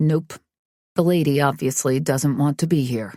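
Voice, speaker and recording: Someone performs a put-on character voice at a low-to-middle pitch. The pace is moderate. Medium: read story. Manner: casual, assured.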